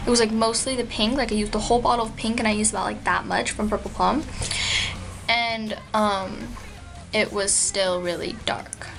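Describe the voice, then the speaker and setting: A woman speaks with a fairly high pitch. Audible room echo and noticeable background noise fill the recording. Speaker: beauty vlogger. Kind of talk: product review vlog. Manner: fast; casual with many fillers.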